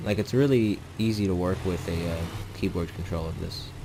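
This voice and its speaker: A man with a very deep, low voice talks at a moderate tempo, while room echo is audible and background noise is noticeable. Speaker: gaming YouTuber. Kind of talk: gameplay commentary. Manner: casual, hesitant with fillers.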